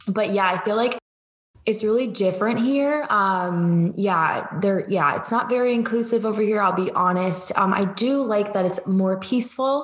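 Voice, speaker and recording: A woman in a normal speaking voice talks at a moderate pace and medium pitch, with ordinary pitch variation and very even loudness. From Georgia, US South (from age seven; born in Cleveland). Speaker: business coach. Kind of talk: casual chat.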